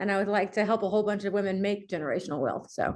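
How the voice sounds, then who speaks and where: With a slight Southern US accent, a woman talks at a medium pitch against a quiet background. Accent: slight Southern twang. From US South, Mobile, Alabama. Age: 40s. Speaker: entrepreneur, company CEO. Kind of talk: interview.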